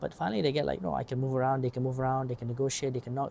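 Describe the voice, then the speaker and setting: This man's voice has a dark, mellow tone at medium pitch. It is also somewhat breathy. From Asia. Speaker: vlogger. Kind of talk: casual monologue. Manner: fast; rambling.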